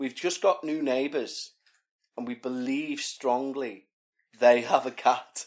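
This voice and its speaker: A man with a British accent at a medium pitch, very slow in pace, with long, frequent pauses and big swings in loudness. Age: 40s. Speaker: podcast host. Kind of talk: casual chat. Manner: animated.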